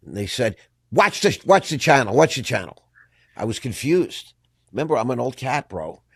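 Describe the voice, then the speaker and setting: A man talks at a fairly quick pace and medium pitch in an animated tone, dry and close with no echo on a very clean recording with a silent background. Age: 60s. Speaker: podcast host. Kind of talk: casual interview. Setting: studio.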